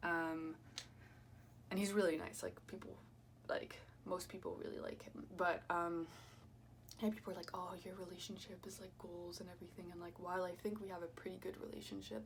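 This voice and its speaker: A woman with a fairly low pitch and vocal fry talks at a fairly quick pace, broken by long, frequent pauses. Her loudness swings widely, her pitch varies in an ordinary way, and the room echo is audible. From France and US (Kansas). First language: French. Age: 20s. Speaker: YouTuber and student. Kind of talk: casual chat. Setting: at home, doing makeup. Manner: hesitant, filler-heavy.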